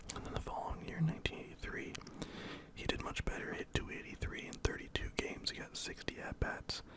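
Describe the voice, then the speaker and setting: A man whispering at a fairly quick pace amid noticeable background noise. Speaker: ASMR creator and baseball fan. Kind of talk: casual talk to camera, ASMR. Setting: home recording, lo-fi. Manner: whispered, soft-spoken.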